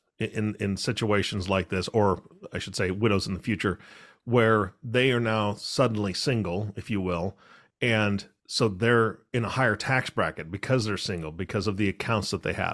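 A man's fairly low-pitched voice at a moderate pace, an ordinary speaking voice with fairly even intonation, on a very clean recording against a silent background. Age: 40s. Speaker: podcast co-host. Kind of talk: casual chat.

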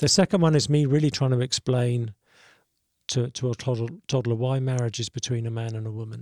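Speaking fairly quickly with a southern English accent, a man has a medium pitch, a dark, mellow tone and fairly even intonation, the sound dry and close with no echo on a very clean recording with a silent background. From Southeast England. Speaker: pastor and author. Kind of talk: casual interview.

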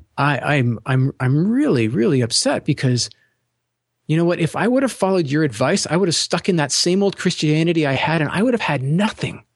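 Intonation moves in a lively way throughout a normal speaking voice. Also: man, fairly high pitch for a man, fairly quick pace, very even loudness. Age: 40s. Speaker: podcast co-host. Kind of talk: casual chat.

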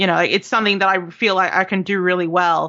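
This woman speaks at a fairly quick pace in a medium pitch. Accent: Australian. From Australia, Melbourne. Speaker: game developer. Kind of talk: interview. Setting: call.

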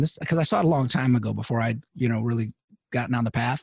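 A man speaks at a very fast pace in a somewhat breathy voice. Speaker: psychologist podcast co-host. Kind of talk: casual chat.

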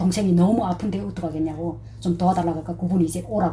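The woman's delivery is fairly quick. Echo from the room comes through. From North Korea. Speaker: North Korean defector, dressmaker. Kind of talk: personal testimony interview.

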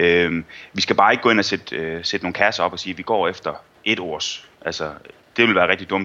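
Talking at a fairly quick pace, a man with a very deep, low pitch uses ordinary pitch variation. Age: 20s. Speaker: SEO consultant. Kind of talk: interview.

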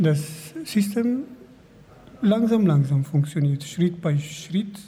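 A man with a Kurdish accent, high in pitch, with ordinary pitch variation and a very slow pace. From Kurdish region. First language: Kurdish (speaking German). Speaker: refugee, language student. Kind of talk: interview. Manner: halting.

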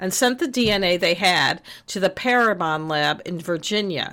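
Her bright, sharp tone sits at medium pitch as a woman talks with ordinary pitch variation on a very clean recording with a silent background. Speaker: true crime podcast co-host. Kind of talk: casual chat with scripted true crime narration.

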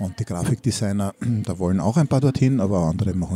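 This man has a dark, mellow tone, a fairly low pitch and a somewhat breathy voice. He talks at a fairly quick pace with ordinary pitch variation in a dry, close sound with no echo. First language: Hungarian and German (bilingual) (speaking German). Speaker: teacher and podcast co-host. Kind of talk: casual chat. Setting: school cafeteria.

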